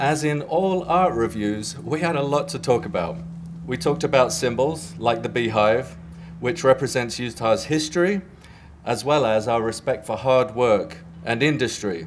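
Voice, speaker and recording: Very wide pitch swings and vocal fry, with an English accent. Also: man, medium pitch for a man, moderate pace. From England, near London. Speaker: graphic design professor. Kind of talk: prepared speech. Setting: press event with audience. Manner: formal, some hesitations.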